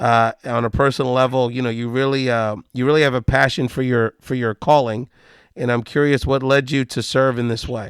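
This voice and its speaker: A man speaks in a plain, everyday voice at a medium pitch with ordinary pitch variation. The sound is dry and close with no echo, and the recording is very clean with a silent background. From US mainland, Puerto Rican family. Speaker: podcast host. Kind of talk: interview.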